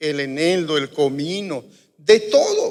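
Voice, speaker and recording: In a room with audible echo, a man with a high pitch speaks at a very slow pace. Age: 60s. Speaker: pastor. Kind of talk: sermon. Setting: church.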